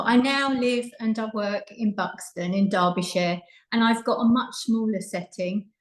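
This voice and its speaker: A fairly slow pace carries ordinary pitch variation. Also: woman. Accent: Essex. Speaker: childminder and early years trainer. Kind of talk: presentation talk.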